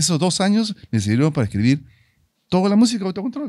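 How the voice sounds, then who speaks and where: Against a quiet background, a man's dark, mellow voice moves with lively intonation in a dry sound with no echo. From Peru. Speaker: musician and commercial voice-over announcer; commercial voice-over announcer. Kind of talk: casual interview. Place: studio. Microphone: studio mic.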